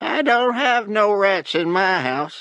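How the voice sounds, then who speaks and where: In a put-on character voice with an Appalachian accent, a man talks fairly slowly at a high pitch against a quiet background. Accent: Appalachian backwoods. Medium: read story. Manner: prying, blunt.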